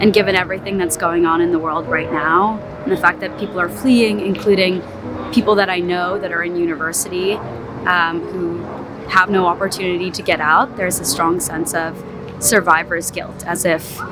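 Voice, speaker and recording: Her fairly low voice carries audible room echo, with noticeable background noise behind it. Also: ordinary pitch variation, moderate pace. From US (moved from Russia at age two). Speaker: street interview respondent. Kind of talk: street interview answer.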